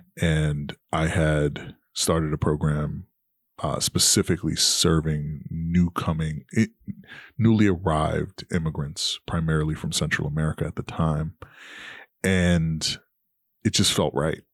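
Recorded very cleanly with a silent background and a dry, close sound with no echo, a man with a New York accent speaks at a very deep, low pitch, a fairly slow pace and fairly even intonation. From New York, Queens. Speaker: nonprofit executive. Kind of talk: interview.

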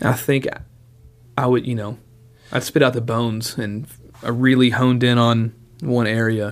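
A man speaks at a moderate pace and medium pitch, his flat, monotone delivery broken by long, frequent pauses. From Nashville, Tennessee. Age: 20s. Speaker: drummer. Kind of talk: casual chat.

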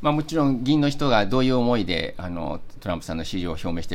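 This is a man talking at a medium pitch. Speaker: diplomat. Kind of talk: interview.

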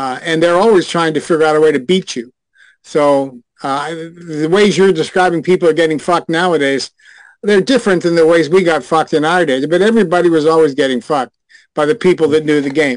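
A plain, everyday voice at a fairly quick pace, with ordinary pitch variation over a quiet background. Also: man, fairly high pitch for a man. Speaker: retired adult film actor and director.

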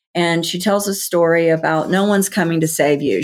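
A woman with a fairly low pitch speaks at a fairly quick pace in an unremarkable speaking voice with fairly even intonation, recorded very cleanly over a silent background. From US South. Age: 50s. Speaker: author and healing coach. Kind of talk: interview.

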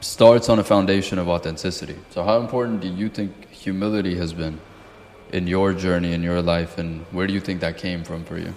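Very deep, low-pitched man's voice with fairly even intonation over noticeable background noise. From outside the US (moved at 12). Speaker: podcast host. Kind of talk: casual interview chat.

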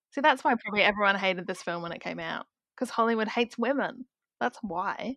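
With a slight South Australian accent, a woman speaks very fast at fairly high pitch with a bright, sharp tone and ordinary pitch variation, in a dry, close sound with no echo against a quiet background. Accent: South Australian, slight British-like. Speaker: guest. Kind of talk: casual chat.

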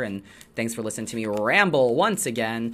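The recording is very clean with a silent background. The speaker moves at a fairly quick pace. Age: 30s. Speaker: tarot reader and podcast host. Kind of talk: casual solo chat. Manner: halting, many fillers.

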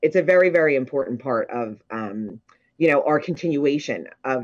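With an American accent, a woman talks in a very deep, low pitch and with lively intonation. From Ocean City, New Jersey. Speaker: popcorn company executive. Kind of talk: casual interview.

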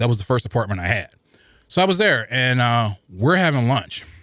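Speaking very fast with lively intonation, a man with an American accent has a medium pitch and a bright, sharp tone. The recording is very clean, with a silent background. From US Midwest, St. Louis. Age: 40s. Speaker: podcast listener guest. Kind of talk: casual interview. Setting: studio.

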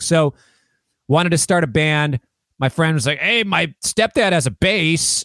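A man with an American accent at a moderate pace, in a very clean recording with a silent background. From Minneapolis, US Midwest. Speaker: guitarist and songwriter. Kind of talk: casual interview chat.

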